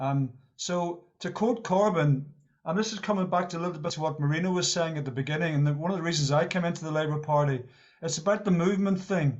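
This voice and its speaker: A man speaks at a very fast pace and a high pitch. His pitch varies in an ordinary way. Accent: Northern Irish. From Northern Ireland. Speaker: meeting participant, Labour Party member. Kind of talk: discussion contribution at online meeting. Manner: halting, repetitive.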